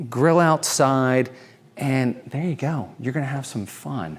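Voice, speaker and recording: On a very clean recording with a silent background, a man talks fairly slowly at medium pitch in an animated tone with ordinary pitch variation. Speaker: realtor. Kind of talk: home tour walkthrough. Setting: walking tour of a clubhouse.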